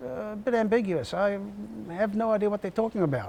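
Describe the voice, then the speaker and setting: Very wide pitch swings mark this man's speech, delivered with an Australian accent. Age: 70s. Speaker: army veteran. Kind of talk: interview answer.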